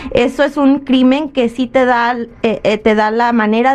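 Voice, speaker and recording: Her high-pitched voice and fairly even intonation mark this woman, heard with noticeable background noise. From Michoacán, Mexico. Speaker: immigration legal advisor. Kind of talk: radio call-in advice.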